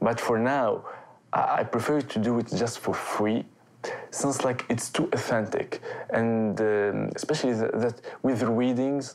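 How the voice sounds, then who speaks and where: Noticeable background noise fills the recording. The talking proceeds at a moderate pace. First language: not English. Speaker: youth organization volunteer. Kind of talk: documentary interview. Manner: halting, many fillers.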